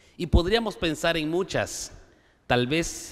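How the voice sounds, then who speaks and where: A man talks at a fairly slow pace. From Guatemala, Maya K'iche' community. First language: K'iche' (Mayan) (speaking Spanish). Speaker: conference panelist on education policy. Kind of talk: conference speech. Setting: auditorium with audience. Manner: formal.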